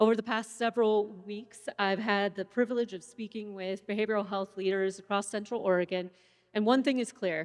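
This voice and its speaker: The delivery moves at a fairly quick pace with fairly even intonation. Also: woman, medium pitch for a woman. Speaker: forum program co-chair. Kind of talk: formal welcome remarks. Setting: event stage with audience. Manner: loud.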